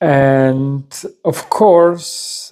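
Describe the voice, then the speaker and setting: A man with a non-native accent, a dark, mellow tone, a fairly high pitch and ordinary pitch variation. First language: not English. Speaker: video creator sharing personal stories. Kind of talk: personal storytelling monologue. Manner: halting, many repetitions and fillers.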